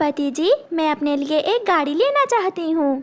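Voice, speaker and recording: A woman puts on a cartoonish character voice at an extremely high pitch. She speaks at a moderate pace. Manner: confident, casual.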